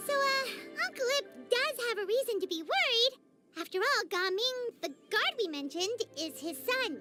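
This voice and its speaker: An extremely high-pitched put-on character voice over faint background music. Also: moderate pace. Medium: video game. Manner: casual, breezy.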